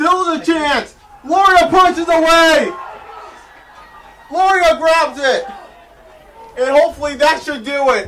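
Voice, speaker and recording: A man's extremely high-pitched, raised and projected voice at a very slow pace, over light background noise. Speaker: sports play-by-play commentator. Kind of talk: live soccer play-by-play commentary. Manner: excited, energetic. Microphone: headset.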